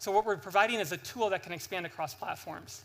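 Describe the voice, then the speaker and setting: Raised and projected, a man's high-pitched voice comes across bright and sharp at a fairly quick pace. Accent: American. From United States. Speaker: startup founder. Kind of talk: sales pitch. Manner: animated.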